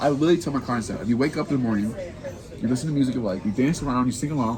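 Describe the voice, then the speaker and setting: Very fast, animated speech with ordinary pitch variation, noticeable background noise and audible room echo. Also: man, medium pitch for a man. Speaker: podcast host, coach. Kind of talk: casual chat.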